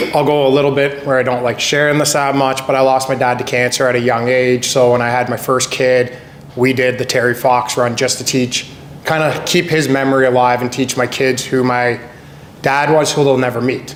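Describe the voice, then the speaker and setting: With a Canadian accent, a man speaks fairly quickly at a medium pitch, his intonation monotone and flat and his loudness very even, against noticeable background noise. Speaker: real estate agent. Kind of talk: panel discussion.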